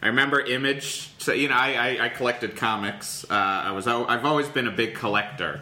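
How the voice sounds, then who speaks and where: A man with a medium pitch talks at a fairly quick pace, with hardly any pauses and ordinary pitch variation. The room echo is audible and the background noise is noticeable. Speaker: comedian. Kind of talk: casual chat.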